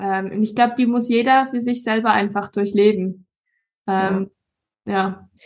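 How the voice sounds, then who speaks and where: Fairly slow delivery with long, frequent pauses and fairly even intonation. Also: woman, fairly high pitch for a woman. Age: 20s. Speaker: bodybuilder. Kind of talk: casual chat.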